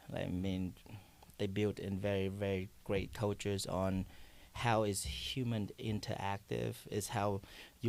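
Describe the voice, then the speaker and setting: A man with a Vietnamese accent speaks in a fairly low voice, captured in a very clean recording against a silent background. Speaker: coffee shop owner. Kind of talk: podcast interview. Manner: halting.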